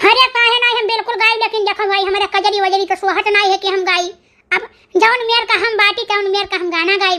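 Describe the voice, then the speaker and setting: A woman puts on a cartoonish character voice at an extremely high pitch. She speaks at a fairly quick pace with monotone, flat intonation. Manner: folksy, chatty.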